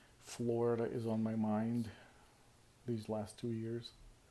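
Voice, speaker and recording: A man with a non-native accent, a medium pitch and a dark, mellow tone. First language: not English. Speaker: vlogger. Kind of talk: casual vlog monologue. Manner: halting, many fillers.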